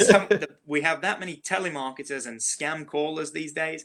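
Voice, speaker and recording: A man speaks with an English accent in a bright, sharp tone. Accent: English accent, picking up Southern words. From England. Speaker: realtor. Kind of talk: interview chat.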